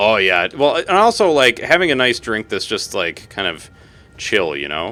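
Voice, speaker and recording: A man at medium pitch with very wide pitch swings, vocal fry, a bright, sharp tone, and a moderate pace. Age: 30s. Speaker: gaming streamer. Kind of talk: live gameplay stream chatting with viewers. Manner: casual, rambling with fillers.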